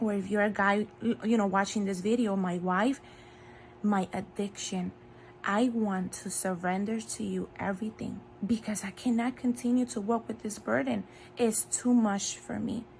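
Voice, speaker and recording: A woman's medium-pitched, somewhat breathy voice in a Spanish accent, with lively intonation at a moderate pace. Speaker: faith video creator. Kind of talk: devotional talk. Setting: in bed at home.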